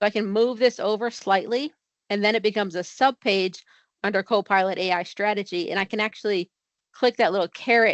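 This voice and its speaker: With an American accent, a woman talks at a fairly quick pace and medium pitch, her intonation fairly even. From Connecticut, US Northeast. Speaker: software trainer. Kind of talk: tutorial. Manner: fast.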